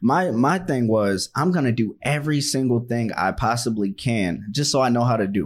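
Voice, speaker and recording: In a very clean recording with a silent background, a man with an American accent speaks in an unremarkable speaking voice at medium pitch and moderate pace, with lively intonation, very even loudness and hardly any pauses. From Washington, D.C. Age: 20s. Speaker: podcast host. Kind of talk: casual podcast conversation. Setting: studio.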